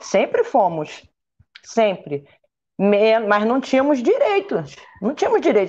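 Slowly, at a fairly unhurried pace, a woman speaks. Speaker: former national team football player. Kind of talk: panel discussion on live stream.

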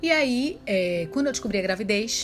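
A woman speaks with lively intonation against noticeable background noise. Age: 20s. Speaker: podcast host, new mother. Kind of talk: casual monologue. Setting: at home with baby. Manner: occasional baby talk voice.

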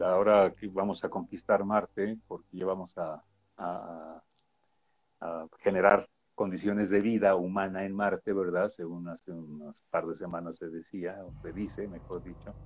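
A man speaks with a very deep, low pitch and monotone, flat intonation. His pace is fairly slow, with big swings in loudness. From Mexico, Puebla. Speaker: radio news broadcaster. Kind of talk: casual interview chat.

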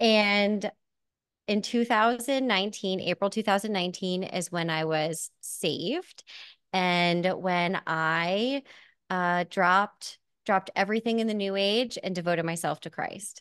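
In an American accent, a woman with an unremarkable speaking voice talks at medium pitch and a fairly slow pace with ordinary pitch variation, the sound dry and close with no echo against a quiet background. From Pennsylvania (Hamburg). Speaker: real estate investor, former corporate saleswoman. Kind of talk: testimony.

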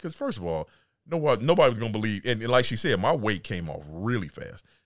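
A man with an American accent talks at a very fast pace on a very clean recording with a silent background. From California. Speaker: fitness trainer and podcaster. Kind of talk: casual chat.

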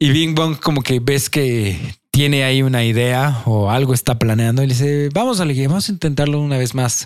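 A man speaks at a fairly quick pace in a normal speaking voice, his medium pitch showing ordinary variation and his loudness staying very even. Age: 20s. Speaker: podcast host. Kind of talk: casual chat.

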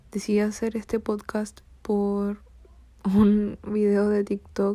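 A woman speaks at a fairly slow pace in a medium pitch. Her tone is dark and mellow, and her intonation is flat and monotone. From Chile. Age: young. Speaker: podcast host. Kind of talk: solo podcast introduction.

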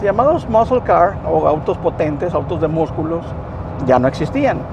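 Noticeable background noise is present throughout. Over it, a man speaks at a moderate pace. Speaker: biomedical equipment technician, storyteller. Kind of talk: casual storytelling vlog, told from a moving car. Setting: in a car on the road. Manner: measured, narrative pacing with repeated words for emphasis.

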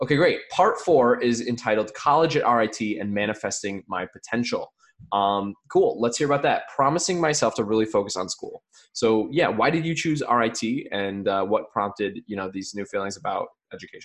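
A man with an American accent talks at a moderate pace in a medium pitch. He has an ordinary speaking voice with lively intonation. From US, rural area. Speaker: podcast host. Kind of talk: casual interview.

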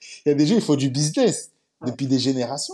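A man's somewhat breathy, fairly high voice with a dark, mellow tone. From Paris suburbs, France. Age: 20s. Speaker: telecom engineer. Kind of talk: casual chat.

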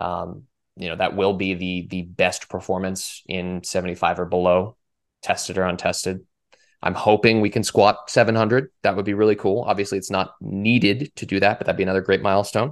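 Fairly quick speech with fairly even intonation against a quiet background. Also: man, fairly low pitch for a man. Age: 20s. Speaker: powerlifting coach. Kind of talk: casual chat. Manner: halting.

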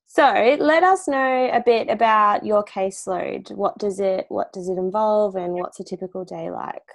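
A woman speaks with an Australian accent. She takes hardly any pauses. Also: moderate pace. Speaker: podcast host, speech pathologist. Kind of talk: scripted intro; casual interview.

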